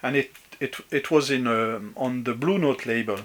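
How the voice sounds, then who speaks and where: Against noticeable background noise, a man in a French accent talks at a moderate pace and medium pitch with ordinary pitch variation. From France, Brittany. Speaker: vinyl collector. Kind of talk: video response, casual talk. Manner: halting, many fillers.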